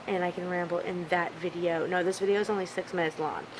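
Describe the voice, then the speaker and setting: Against noticeable background noise, a woman mumbles at a fairly quick pace in a fairly low voice. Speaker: mom vlogger. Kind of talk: casual vlog talk. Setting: at home in living room. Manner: mumbling, rambling.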